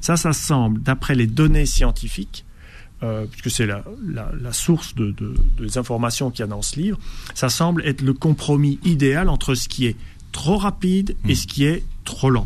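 Using lively intonation, a man talks at a moderate pace and a fairly high pitch. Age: 50s. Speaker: biologist and breathing coach. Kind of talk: radio interview. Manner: halting, with repetitions.

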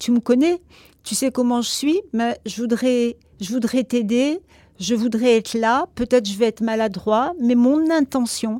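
This woman's voice is high-pitched, with a dark, mellow tone and ordinary pitch variation. She talks at a fairly slow pace, and the sound is dry and close with no echo. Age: 60s. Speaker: psychologist. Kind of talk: casual chat.

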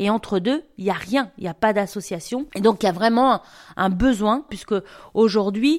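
The recording is very clean, with a silent background and a dry, close sound with no echo. The pitch varies in an ordinary way. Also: woman. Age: 50s. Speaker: cancer support volunteer and association founder. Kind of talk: interview. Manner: halting, with repetitions and hesitations.

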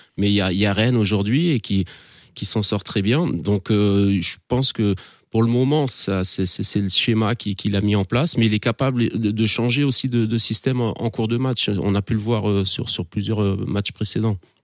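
A man talks at a moderate pace with a fairly low pitch and ordinary pitch variation, recorded very cleanly against a silent background. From France, Alsace (Strasbourg). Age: 40s. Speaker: amateur football coach. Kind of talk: casual chat. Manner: halting, many repetitions.

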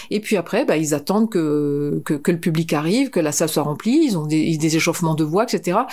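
With hardly any pauses, a woman talks at a moderate pace. Her pitch is fairly low and her intonation lively. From northern France. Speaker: concert venue director. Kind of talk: interview. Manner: halting.

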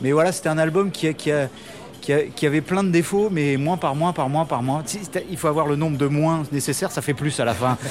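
With noticeable background noise behind him, a man talks at a fairly quick pace in a fairly high pitch, with ordinary pitch variation. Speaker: rock band musician. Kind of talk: radio interview. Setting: café in Paris. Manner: halting.

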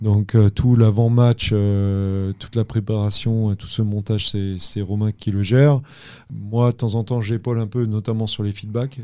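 With a calm, dark and mellow tone, a man speaks at a fairly slow pace in flat, monotone intonation. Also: fairly low pitch for a man. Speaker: assistant basketball coach. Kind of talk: casual interview.

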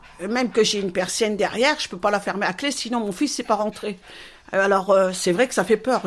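A fairly high-pitched woman at a moderate pace with ordinary pitch variation. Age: 60s. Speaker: retiree. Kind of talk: testimony. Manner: lively.

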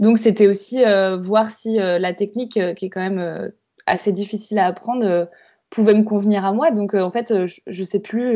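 A voice speaking at a fairly slow pace with fairly even intonation. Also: woman. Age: 20s. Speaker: embroiderer. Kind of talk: interview. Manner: halting.

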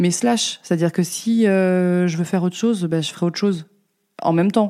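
The tone is dark and mellow, with fairly even intonation. The pace is very fast. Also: woman. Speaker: lamp designer. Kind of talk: interview. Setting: her workshop. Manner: hesitant, many fillers.

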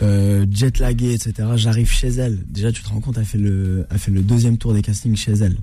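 Somewhat breathy, a man talks at a fairly quick pace with hardly any pauses. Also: fairly low pitch for a man, fairly even intonation. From Normandy, France (Rouen). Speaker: actor and comedian. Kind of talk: radio interview. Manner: calm, measured.

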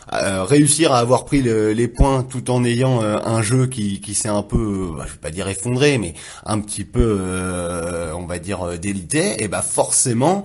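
A man with an ordinary speaking voice talks at a fairly slow pace. His pitch is fairly low and his intonation is lively. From Le Havre, Normandy, France. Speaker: sports journalist. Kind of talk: casual sports discussion.

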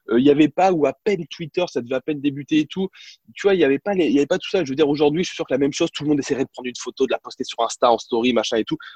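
A man's fairly high-pitched voice at a very fast pace, with ordinary pitch variation and dry, close sound with no echo. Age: 30s. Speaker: sports journalist and TV presenter. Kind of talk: interview, casual storytelling.

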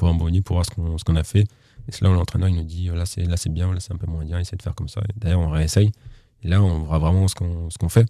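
Speaking at a very fast pace, a man uses a very deep, low pitch and a dark, mellow tone, somewhat breathy, with fairly even intonation. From western France, Nantes area. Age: 20s. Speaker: para-badminton player. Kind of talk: interview. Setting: studio.

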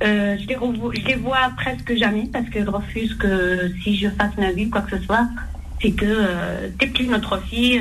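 Amid noticeable background noise and audible room echo, a woman speaks at a medium pitch and a fairly slow pace with fairly even intonation. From Algerian heritage. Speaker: caller. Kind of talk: call-in question.

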